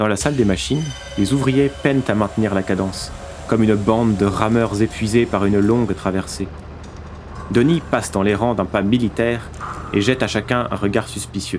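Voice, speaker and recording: Amid noticeable background noise, a man keeps a very even loudness and takes long, frequent pauses. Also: fairly low pitch for a man, ordinary pitch variation, moderate pace. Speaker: narrator. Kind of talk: dramatic scripted narration of a fable, solemn and ironic. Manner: measured, theatrical, solemn with ironic edge.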